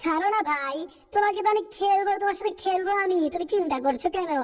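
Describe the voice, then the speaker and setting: A woman performs a cartoonish character voice at an extremely high pitch. She keeps a moderate pace. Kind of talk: cartoon dub acting. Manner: lively, chatty.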